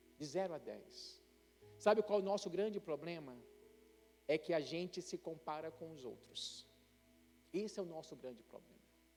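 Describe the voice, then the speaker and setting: Over music in the background, a man talks at a high pitch and a moderate pace, with ordinary pitch variation. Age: 60s. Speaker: pastor. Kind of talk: sermon. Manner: conversational, some hesitations.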